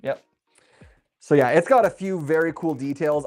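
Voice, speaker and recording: An animated tone at a moderate pace, in a very clean recording with a silent background. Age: adult. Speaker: LEGO YouTuber building sets on livestream. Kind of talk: livestream build chat. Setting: home studio with overhead camera.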